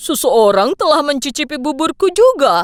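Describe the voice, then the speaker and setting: This is a put-on character voice pitched high, moving at a moderate pace. Its pitch swings very widely. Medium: fan dub.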